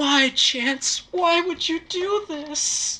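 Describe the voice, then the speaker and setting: A female-sounding voice performs a put-on character voice at an extremely high pitch. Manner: pleading, aggrieved.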